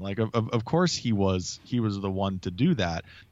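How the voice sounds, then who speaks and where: A man with an American accent and a normal speaking voice talks at a moderate pace. His pitch is fairly low with ordinary variation, against a quiet background. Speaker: podcast co-host. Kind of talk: casual chat.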